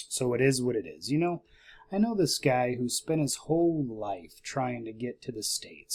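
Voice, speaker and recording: A man speaks quietly, with a dark, mellow tone. His intonation is lively. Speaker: investing YouTuber. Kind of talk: casual vlog. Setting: at home late at night. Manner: quiet, keeping voice down.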